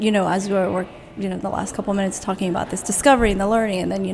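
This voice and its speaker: There is noticeable background noise behind this woman. She speaks at medium pitch with fairly even intonation. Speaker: radio host. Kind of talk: casual chat.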